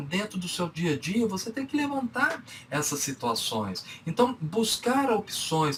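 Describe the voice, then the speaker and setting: A man with a Minas Gerais accent at a fairly slow pace, with very wide pitch swings over noticeable background noise. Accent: Minas Gerais (mineiro). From Brazil, Minas Gerais. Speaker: business speaker and consultant. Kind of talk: lecture. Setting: online conference talk.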